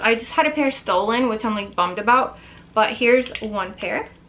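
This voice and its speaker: A woman with a high-pitched voice and ordinary pitch variation talks over noticeable background noise. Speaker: fashion vlogger. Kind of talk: casual show-and-tell video. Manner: fast; animated.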